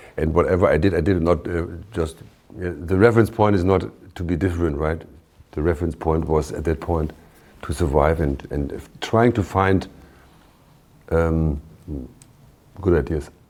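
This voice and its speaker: Very deep, low male voice with a German accent, ordinary pitch variation, a moderate pace and long, frequent pauses. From Germany, Bremen. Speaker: shipping company owner and CEO. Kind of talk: interview. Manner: halting.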